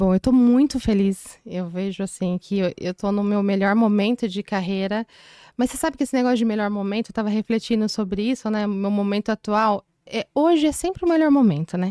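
On a very clean recording with a silent background, a woman at a medium pitch speaks at a fairly quick pace with ordinary pitch variation and a dark, mellow tone, the sound dry and close with no echo. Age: 30s. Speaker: HR consultant. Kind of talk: interview.

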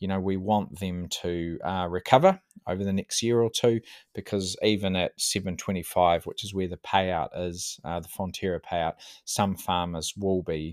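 A man with a New Zealand accent speaks at a very deep, low pitch and a fairly slow pace, with fairly even intonation. The recording is very clean, with a silent background. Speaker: investment director, market commentator. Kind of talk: solo market commentary podcast. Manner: casual with frequent filler words.

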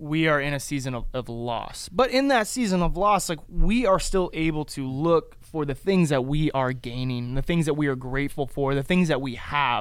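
A man with an unremarkable speaking voice talks at a moderate pace and a fairly high pitch, his intonation lively, in a very clean recording with a silent background. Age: 20s. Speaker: youth ministry podcast co-host. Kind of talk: casual chat.

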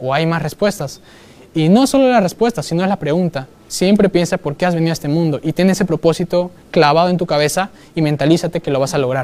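This man's voice sits high in pitch with ordinary variation, and he moves at a fairly quick pace. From Peru, Lima (born in Iquitos). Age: 20s. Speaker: digital marketer and business coach. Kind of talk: live conference talk. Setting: stage with live audience. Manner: animated; halting, many fillers.

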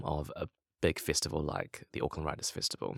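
A speaker with a New Zealand accent talks at a fairly quick pace. The recording is very clean with a silent background, and the sound is dry and close with no echo. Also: man. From New Zealand, Lower Hutt. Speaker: poet. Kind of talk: interview conversation. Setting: studio.

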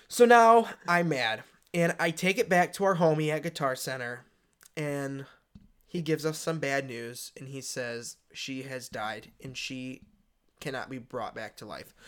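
A man with an ordinary speaking voice talks at a fairly slow pace in a fairly high pitch, his intonation lively and his loudness swinging widely, on a very clean recording with a silent background. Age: young. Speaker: podcast host, recent high school graduate. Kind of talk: casual chat. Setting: makeshift home studio. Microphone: new microphone.

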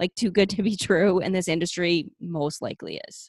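A woman with a Boston accent speaks at a medium pitch with ordinary pitch variation, recorded very cleanly against a silent background. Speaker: podcast co-host, personal trainer. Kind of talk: casual chat, interview.

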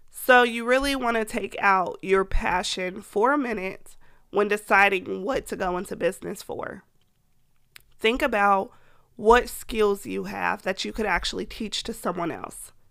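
A woman speaks at a fairly slow pace and medium pitch, with vocal fry and big swings in loudness. The recording is very clean, with a silent background. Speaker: podcast host. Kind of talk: solo podcast talk about business advice. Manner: monotone, flat inflection; casual, chatty, enthusiastic.

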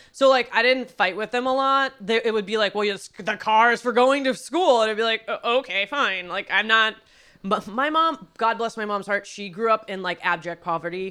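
A woman speaks with a Californian accent at a moderate pace. Her fairly high voice has a bright, sharp tone. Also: ordinary pitch variation. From Los Angeles, San Fernando Valley. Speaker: writer and producer. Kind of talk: casual chat.

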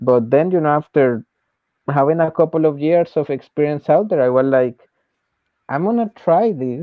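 Speaking at a moderate pace with a Spanish accent, the voice leaves long, frequent pauses. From Colombia. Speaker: filmmaker. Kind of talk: interview.

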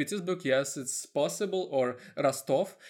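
A man speaks with a Russian accent at a moderate pace. The recording is very clean, the background silent. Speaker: web marketer. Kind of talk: casual chat. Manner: halting.

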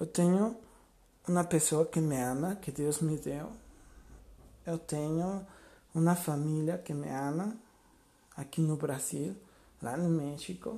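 A man with a dark, mellow tone and fairly high pitch talks at a very slow pace, with long, frequent pauses and ordinary pitch variation. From Mexico. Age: 30s. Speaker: preacher. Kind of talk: devotional talk.

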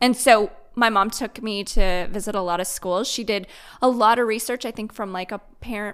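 Speaking with an American accent in an ordinary speaking voice, a woman talks at a moderate pace with fairly high pitch and fairly even intonation on a very clean recording with a silent background. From US Midwest. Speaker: human design coach. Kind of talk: casual interview.

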